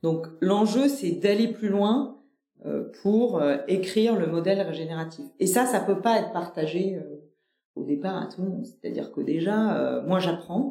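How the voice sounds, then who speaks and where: Her pitch sits at a medium level for a woman. She speaks at a fairly slow pace with lively intonation. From Nîmes, southern France. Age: 40s. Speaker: company director. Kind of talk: interview conversation. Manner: hesitant, many fillers and repetitions.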